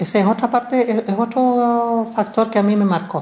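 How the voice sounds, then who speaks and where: The voice is somewhat breathy with a dark, mellow tone and moves at a fairly slow pace. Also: woman. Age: 60s. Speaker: relative of disappeared victims, archivist. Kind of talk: testimony. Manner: halting, frequent fillers.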